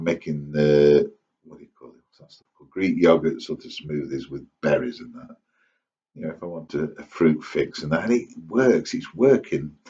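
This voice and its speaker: With an East Midlands accent and a very deep, low pitch, a man speaks at a moderate pace with lively intonation and big swings in loudness. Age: 60s. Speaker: vlogger. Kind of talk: casual monologue to camera. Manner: rambling, hesitant with fillers.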